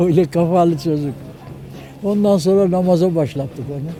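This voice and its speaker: Music sits in the background as a man speaks. His pitch is high and his pace fairly slow. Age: 80s+. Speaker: retired sailor. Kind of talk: interview answer. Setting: outdoors.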